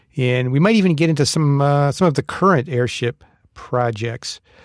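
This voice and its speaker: A man with a normal speaking voice talks at a moderate pace. The sound is dry and close, with no echo. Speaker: podcast host. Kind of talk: casual chat.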